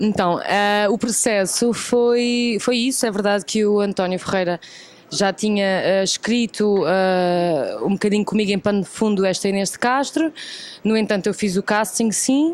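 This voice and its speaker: Over noticeable background noise, a woman with a European Portuguese accent speaks at a moderate pace and medium pitch, with ordinary pitch variation. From Portugal. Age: 20s. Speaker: actress. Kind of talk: interview.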